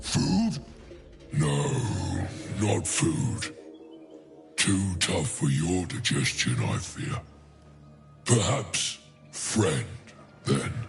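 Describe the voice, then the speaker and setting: A man growls in a put-on character voice, very deep and low, with very wide pitch swings. He speaks at a very slow pace over clear background music. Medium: game stream. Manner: pompous, savoring words.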